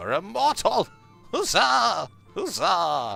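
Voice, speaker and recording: A put-on character voice speaks at a very slow pace over faint music in the background. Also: man. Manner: exuberant, cheering.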